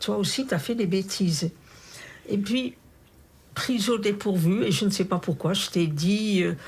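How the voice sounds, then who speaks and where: A somewhat breathy woman's voice at medium pitch, fairly slow pace and lively intonation. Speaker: Holocaust camp survivor. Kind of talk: interview answer.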